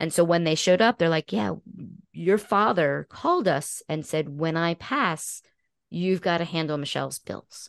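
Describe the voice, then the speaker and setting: A woman with a fairly low pitch and vocal fry speaks at a moderate pace with ordinary pitch variation. The sound is dry and close with no echo, against a quiet background. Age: 50s. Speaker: podcast host and guest. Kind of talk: casual interview conversation.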